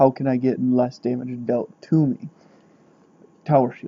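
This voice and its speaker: A man's medium-pitched voice stays monotone and flat in its intonation. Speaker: gaming youtuber. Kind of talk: game tutorial commentary. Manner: quiet, not smooth; halting, many fillers.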